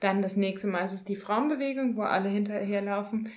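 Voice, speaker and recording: A woman talks at a fairly quick pace with fairly even intonation. Noticeable background noise and audible room echo are present. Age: 30s. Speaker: podcast co-host. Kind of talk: casual chat. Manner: halting, many filler sounds.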